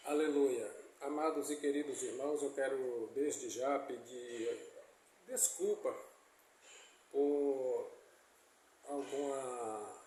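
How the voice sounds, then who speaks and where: A man speaks at a very slow pace with long, frequent pauses. There is audible room echo. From Brazil, Bahia (Itabuna/Ilhéus area). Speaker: preacher. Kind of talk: sermon. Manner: halting.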